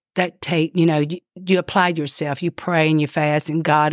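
A woman speaks at a moderate pace in a very deep, low pitch with a monotone, flat intonation, recorded very cleanly against a silent background with a dry, close sound and no echo. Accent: Louisiana. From Louisiana, US South. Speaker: pastor's wife. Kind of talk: testimony.

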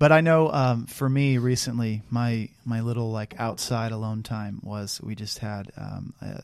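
Fairly even intonation and a medium pitch mark a man speaking in a plain, everyday voice. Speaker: podcast co-host. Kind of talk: casual chat.

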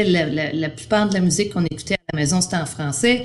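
A woman talks at a fairly quick pace with a fairly low pitch and ordinary pitch variation, with audible room echo and noticeable background noise. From Quebec. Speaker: primary arts teacher. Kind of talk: interview.

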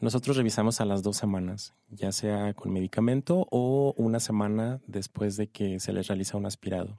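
Dry and close with no echo, a man's dark, mellow voice at a fairly low pitch moves at a moderate pace with fairly even intonation and hardly any pauses. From Ciudad Juárez, Chihuahua, northern Mexico. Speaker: doctor working in abortion services. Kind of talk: casual interview. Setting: studio.

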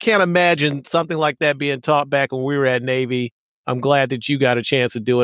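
In a very clean recording with a silent background and a dry, close sound with no echo, a man talks at a very fast pace, his fairly high pitch showing ordinary variation. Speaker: podcast host and naval academy alumnus. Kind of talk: casual interview.

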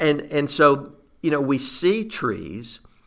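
This man speaks with an Arkansas accent. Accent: Southern US (Arkansas). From Southeast Arkansas. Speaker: forestry association executive. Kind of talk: casual interview.

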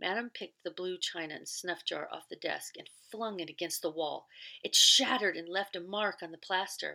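In a natural reading voice, the words come with ordinary pitch variation.

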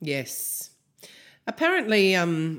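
A woman with an Australian accent on a very clean recording with a silent background. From Australia, Canberra. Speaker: music podcast co-host. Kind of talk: casual chat.

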